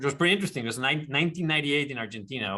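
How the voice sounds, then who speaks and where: Ordinary pitch variation marks a man's bright, sharp tone with a Mexican accent against a quiet background. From Mexico, Monterrey. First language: Spanish. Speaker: glass company executive. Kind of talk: interview.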